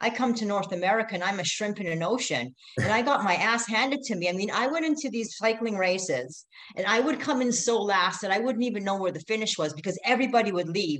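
A woman talks very fast in a medium pitch with lively intonation. Noticeable background noise can be heard. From Middle East, born in Canada. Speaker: ultra-endurance racer. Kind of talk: interview.

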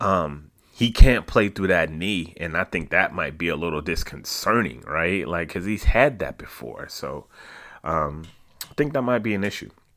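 With a bright, sharp tone and vocal fry, a man speaks at a moderate pace, his intonation lively and his loudness swinging widely. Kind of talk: podcast host intro patter. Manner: high-energy, animated, hyped-up showman; casual, chatty, laughing.

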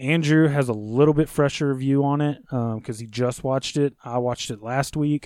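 This man speaks at a moderate pace with hardly any pauses, a fairly high pitch and fairly even intonation, in an unremarkable speaking voice. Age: 30s. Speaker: podcast host. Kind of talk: casual chat.

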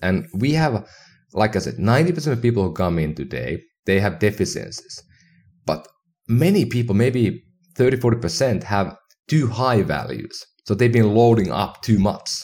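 With a Finnish accent and vocal fry, a man speaks at a moderate pace, medium in pitch, with lively intonation. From northern Finland. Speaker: health tech entrepreneur. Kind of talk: casual interview. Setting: remote call.

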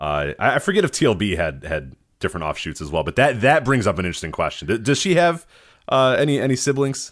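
Over a quiet background, a man with vocal fry speaks in very wide pitch swings. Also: medium pitch for a man. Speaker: wrestling podcast host. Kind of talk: casual chat. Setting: live stream with chat room.

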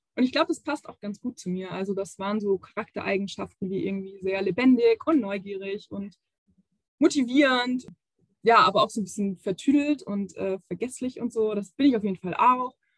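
A woman's somewhat breathy voice, with big swings in loudness and ordinary pitch variation, in a dry, close sound with no echo. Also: medium pitch for a woman, fairly quick pace. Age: 20s. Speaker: youth education officer. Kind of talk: interview.

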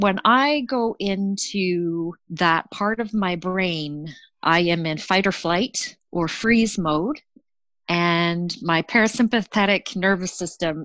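A woman with a Canadian accent speaks very slowly at a fairly low pitch, her sound dry and close with no echo against a quiet background. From Canada. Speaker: storyteller sharing a personal mental health story. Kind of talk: personal testimony.

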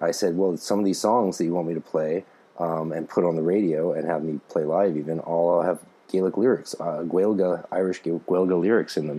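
A man with a Canadian accent talks at a moderate pace in a very deep, low pitch, keeping his intonation fairly even. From Canada. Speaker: podcast host and author. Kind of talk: reading aloud a text with commentary.

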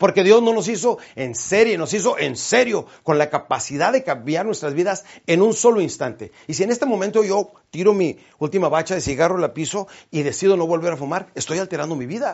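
A man's high, animated voice at a fairly quick pace, with lively intonation. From Mexico, Chihuahua. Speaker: motivational speaker. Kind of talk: motivational talk.

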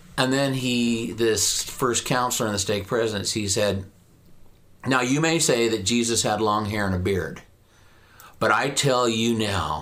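In a slight rural Western US accent, a man speaks at a moderate pace and medium pitch, with ordinary pitch variation and very even loudness. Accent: slight Western US rural twang. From southern Idaho. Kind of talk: casual interview conversation.

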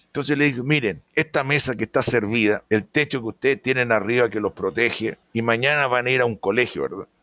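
This man speaks at a fairly quick pace with hardly any pauses, his pitch medium and its variation ordinary. His tone is bright and sharp, the sound dry and close with no echo, on a very clean recording with a silent background. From Chile. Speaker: veterinarian and pig production consultant. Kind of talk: interview.

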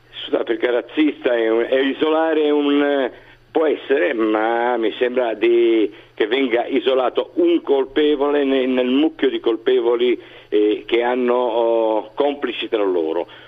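Delivered fairly slowly, the speech shows ordinary variation in pitch. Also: man, medium pitch for a man, very even loudness. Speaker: journalist interviewee. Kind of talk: interview answers. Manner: hesitant, halting with repetitions.

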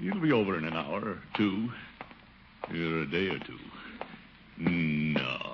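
A man's low-pitched put-on character voice, slow and full of big pitch swings, with audible room echo.

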